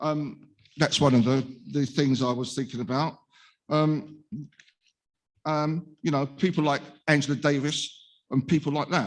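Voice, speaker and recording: Here a man talks with a Cockney accent and a fairly high pitch. His pace is fairly slow, his intonation fairly even, with long, frequent pauses. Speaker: speaker with lived experience of probation. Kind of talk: conference talk. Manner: halting.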